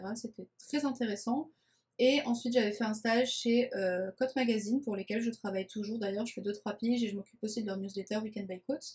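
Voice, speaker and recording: A woman speaks at a fairly quick pace in a somewhat breathy, fairly high voice with fairly even intonation. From France, Nice. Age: 20s. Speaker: communication agency founder, podcast host. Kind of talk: casual podcast monologue. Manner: talkative.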